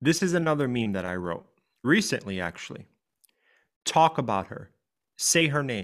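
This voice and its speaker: Very wide pitch swings from a man with an American accent. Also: very clean recording, silent background. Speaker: grief coach and podcast host. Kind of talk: podcast chat and reading own writing.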